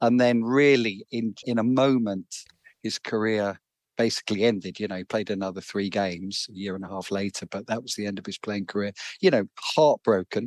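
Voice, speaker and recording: The speaker talks at a fairly quick pace with fairly even intonation, in a dry, close sound with no echo. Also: man, fairly low pitch for a man. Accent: London. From London. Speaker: author. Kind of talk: interview. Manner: halting, repeats words.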